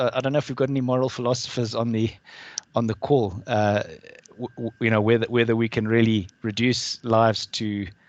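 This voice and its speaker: The speaker has a South African accent and monotone, flat intonation. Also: man. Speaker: alumnus asking a question at an online talk. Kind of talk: Q&A question at webinar. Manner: halting, many repetitions.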